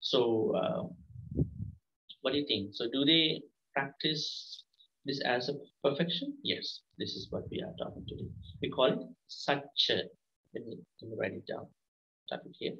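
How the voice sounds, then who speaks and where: A man speaks at a fairly slow pace with long, frequent pauses and big swings in loudness. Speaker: monk teacher. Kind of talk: dharma lesson to children. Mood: calm, patient teaching. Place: home room. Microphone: video call.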